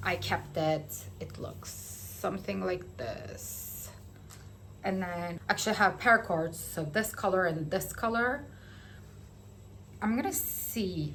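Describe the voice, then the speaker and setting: A woman with a non-native accent at a very slow pace, amid audible room echo. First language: not English. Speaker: knitting vlogger. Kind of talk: casual vlog chat. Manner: hesitant, filler-heavy.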